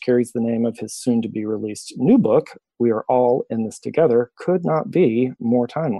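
In an ordinary speaking voice, a man delivers his words at a moderate pace, his pitch varying in an ordinary way. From US South, Memphis, Tennessee. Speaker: podcast host and coach. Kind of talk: interview.

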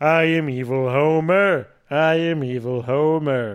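A man's put-on character voice, fairly high-pitched and at a fairly slow pace. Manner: menacing, deadpan.

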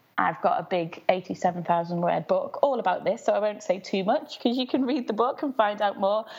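A woman speaks at a moderate pace with a Liverpool accent. Her pitch is fairly high. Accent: Scouse. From Liverpool, England. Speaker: craft activist. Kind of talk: interview.

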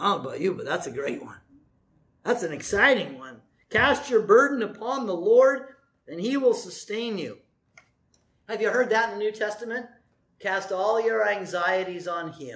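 The speech goes at a moderate pace. Long pauses come often. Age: 60s. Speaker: pastor. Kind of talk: fired-up Sunday sermon, scripture woven into folksy asides. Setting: church. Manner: animated and folksy, rising to exclamations; conversational, asking the congregation questions.

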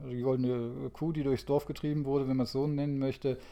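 Monotone and flat, a man's medium-pitched voice carries a dark, mellow tone at a moderate pace. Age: 40s. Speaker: energy industry consultant. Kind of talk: casual interview.

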